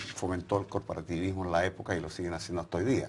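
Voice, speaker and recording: Somewhat breathy, a man speaks with a very deep, low pitch and ordinary pitch variation. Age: 70s. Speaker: former political activist. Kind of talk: interview. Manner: hesitant, with fillers.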